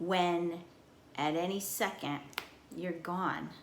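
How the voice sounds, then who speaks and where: The speech moves at a very slow pace with ordinary pitch variation. Room echo is audible. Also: woman. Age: 60s. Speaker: vlogger. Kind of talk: personal monologue.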